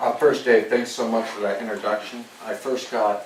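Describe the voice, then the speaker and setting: A man with an American accent at a fairly quick pace, with audible room echo and noticeable background noise. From US West Coast, Santa Cruz County, California. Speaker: army general. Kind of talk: lecture. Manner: soft-spoken.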